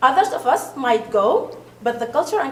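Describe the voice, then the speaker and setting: A woman with an Arabic accent speaks at a moderate pace and a high pitch. Noticeable background noise is present. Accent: foreign accent, Arabic-speaking. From Sudan. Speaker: parent committee member. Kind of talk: committee presentation. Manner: halting, repeats words.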